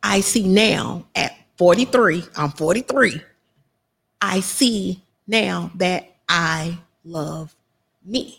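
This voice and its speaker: With lively intonation and vocal fry, a woman speaks at a fairly low pitch and a very slow pace, leaving long, frequent pauses. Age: 40s. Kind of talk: personal testimony. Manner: emphatic, repetitive.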